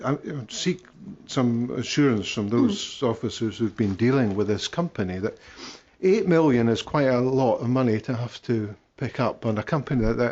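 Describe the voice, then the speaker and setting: With a central Scottish accent, a man talks in a medium pitch with lively intonation. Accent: Scottish (central Scotland). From Scotland, Falkirk. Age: 60s. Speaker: local councillor. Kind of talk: council committee debate.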